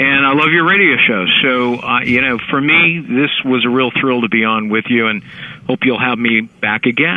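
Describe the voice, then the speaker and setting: This man has an unremarkable speaking voice, with a medium pitch, ordinary pitch variation, very even loudness and a moderate pace. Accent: American. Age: 60s. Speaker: lawyer and author. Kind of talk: interview.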